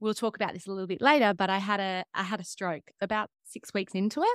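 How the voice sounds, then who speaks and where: In a very clean recording with a silent background and a dry, close sound with no echo, a woman with an Australian accent speaks at a fairly quick pace, medium pitch, and ordinary pitch variation. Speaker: fitness coach and trauma counselor. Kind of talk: interview.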